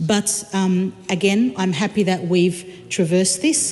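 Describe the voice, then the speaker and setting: Medium pitch from a female speaker, with background noise clearly noticeable. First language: not English. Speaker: member of parliament. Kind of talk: parliamentary debate. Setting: parliament chamber. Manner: halting, many fillers and repetitions.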